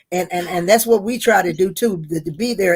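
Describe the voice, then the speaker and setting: A woman with a North Carolina accent speaks at a medium pitch. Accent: Southern US (North Carolina). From US South. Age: 70s. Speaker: interviewee, mother of the host. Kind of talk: casual interview. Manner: halting, many repetitions.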